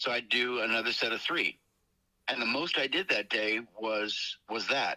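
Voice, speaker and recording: Medium in pitch with a bright, sharp tone, a man speaks at very even loudness with ordinary pitch variation. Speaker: voice actor. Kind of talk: interview. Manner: fast.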